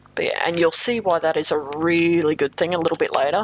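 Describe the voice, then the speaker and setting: A woman at a fairly low pitch and moderate pace, ordinary pitch variation, noticeable background noise. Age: 20s. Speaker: video game streamer. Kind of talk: live gameplay commentary. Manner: casual, hesitant with fillers.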